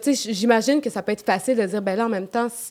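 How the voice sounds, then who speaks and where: Speaking at a very fast pace in a Quebec accent, a woman's fairly high voice shows ordinary pitch variation. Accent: Québécois. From Quebec, Beauce region. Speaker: podcast guest. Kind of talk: casual chat.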